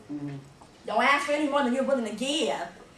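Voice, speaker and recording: A woman's high, raised and projected voice with a slight Southern accent, animated in tone, with noticeable background noise and audible room echo. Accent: slight southern drawl. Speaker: motivational speaker, arts educator. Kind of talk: motivational talk to students.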